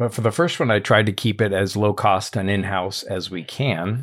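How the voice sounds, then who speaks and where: Using an ordinary speaking voice, a man talks at a moderate pace and fairly low pitch with ordinary pitch variation. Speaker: podcast host. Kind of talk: casual podcast discussion.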